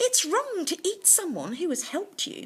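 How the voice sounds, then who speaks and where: A woman's squeaky, put-on character voice at an extremely high pitch, with very wide pitch swings, at a moderate pace. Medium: read story. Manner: solemn, judging.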